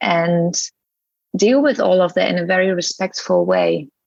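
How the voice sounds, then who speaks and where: A woman with a non-native accent, dry and close with no echo. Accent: foreign accent in English. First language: not English. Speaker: yoga teacher and English teacher. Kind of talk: interview podcast.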